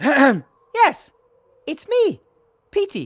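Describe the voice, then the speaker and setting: The put-on character voice sits at a high pitch. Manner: put-on funny voice.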